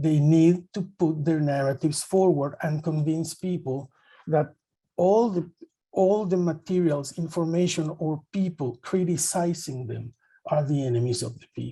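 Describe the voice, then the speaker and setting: A man's fairly high, dark and mellow voice with a Spanish accent, fairly slow pace and ordinary pitch variation. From El Salvador. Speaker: journalist, panelist. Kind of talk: panel discussion.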